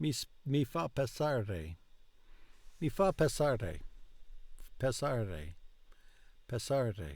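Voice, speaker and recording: Very slow, somewhat breathy delivery with very wide pitch swings and long, frequent pauses over a very clean, silent background. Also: man, medium pitch for a man. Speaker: language learner vlogger. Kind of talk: language practice repetition. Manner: slow, in fits and starts; halting, repetitive.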